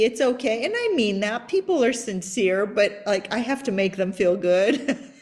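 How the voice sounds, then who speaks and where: With a slight Persian accent, a woman at a fairly high pitch speaks at a moderate pace with lively intonation amid noticeable background noise. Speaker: podcast host. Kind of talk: interview podcast conversation.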